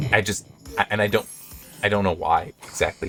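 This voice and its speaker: Music plays in the background as a man speaks. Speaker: gaming video creator. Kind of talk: let's play commentary. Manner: halting, many fillers and repeats.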